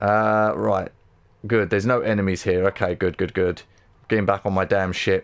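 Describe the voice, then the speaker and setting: A man with a London accent talks at a moderate pace. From London, England. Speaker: gaming livestreamer. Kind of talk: live gameplay commentary. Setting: livestream. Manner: animated.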